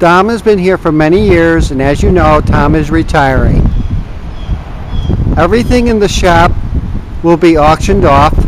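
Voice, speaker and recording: A man's voice, dry with no echo, comes through noticeable background noise. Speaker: auction company videographer. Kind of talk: walking tour commentary. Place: garden. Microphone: phone near.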